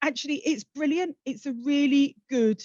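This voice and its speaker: In a South London accent, a woman speaks with lively intonation in a dry, close sound with no echo. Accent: South London twang. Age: 50s. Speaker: social mobility campaigner, keynote speaker. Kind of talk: keynote address.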